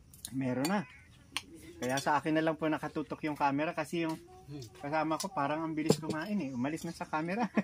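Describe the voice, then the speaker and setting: Over noticeable background noise, a man with a fairly high pitch for a man talks at a very fast pace, his pitch varying in an ordinary way. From Philippines, Dingalan, Aurora. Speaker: travel vlogger. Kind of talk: casual chat with vlog narration.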